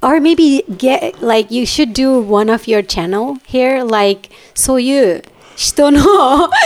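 Lively intonation marks this very slow delivery in a Japanese accent. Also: woman, high pitch for a woman. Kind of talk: casual chat.

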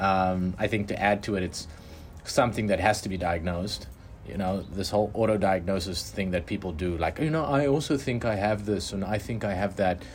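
Over music in the background, a man talks at a fairly quick pace with a fairly low pitch. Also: ordinary pitch variation. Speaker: podcast host. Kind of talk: casual conversation about personal experiences.

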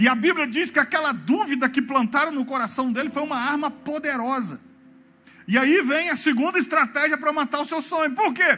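A raised, projected voice with a bright, sharp tone moves at a moderate pace, showing ordinary pitch variation. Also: man. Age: 40s. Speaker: pastor. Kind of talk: sermon. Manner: animated.

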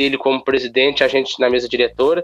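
A man talks at a very fast pace. His fairly high pitch holds fairly even intonation. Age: young. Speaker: city councillor. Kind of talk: interview. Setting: phone call.

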